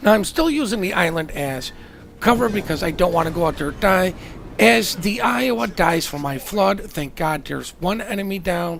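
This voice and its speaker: Delivered at a moderate pace, the speech sits against noticeable background noise. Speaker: gaming commentator. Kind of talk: gameplay commentary.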